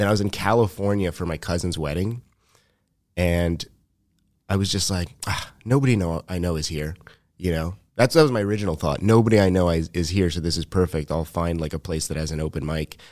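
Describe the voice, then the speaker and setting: Recorded very cleanly against a silent background, a man with a Montreal accent talks fairly quickly in a very deep, low pitch. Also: ordinary pitch variation. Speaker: comedian and musician. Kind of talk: casual chat.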